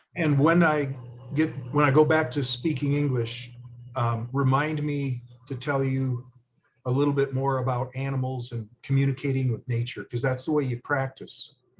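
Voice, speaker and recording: Somewhat breathy, a man at a medium pitch talks at a moderate pace with monotone, flat intonation. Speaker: spiritual teacher. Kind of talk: teaching workshop. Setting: video call.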